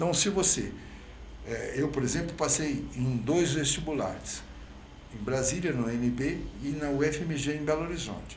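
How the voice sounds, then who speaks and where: A man with a fairly high voice speaks at a moderate pace with ordinary pitch variation, leaving long, frequent pauses, and the room echo is audible. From Brazil, Franca (São Paulo state). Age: 70s. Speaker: mayoral candidate, physician. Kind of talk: interview. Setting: podcast.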